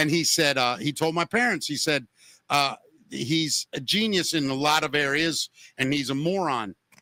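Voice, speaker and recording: A man with an American accent, fairly high in pitch, at a moderate pace, with a bright, sharp tone, ordinary pitch variation and a dry, close sound with no echo. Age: 50s. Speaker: podcast host. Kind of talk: casual chat.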